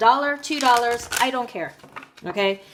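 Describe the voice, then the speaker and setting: A woman with an American accent and lively intonation at a moderate pace, over noticeable background noise. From United States. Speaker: tarot reader. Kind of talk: monologue to viewers, tarot reading. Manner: firm, scolding.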